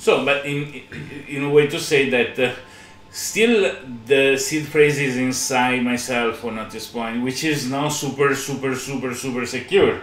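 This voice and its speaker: A man speaks at a fairly slow pace with a fairly high pitch and fairly even intonation. Faint music plays in the background, and room echo is audible. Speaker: podcast co-host, blockchain developer; podcast co-host. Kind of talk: technical demo chat. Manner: halting, many fillers. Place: home room. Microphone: earbuds.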